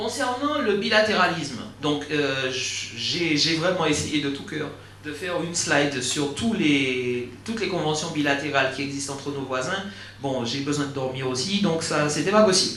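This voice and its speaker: A man with a fairly high voice talks at a moderate pace, his pitch varying in an ordinary way, amid audible room echo and noticeable background noise. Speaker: legal consultant, conference speaker. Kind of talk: conference talk. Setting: auditorium with audience. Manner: halting, many fillers and repetitions.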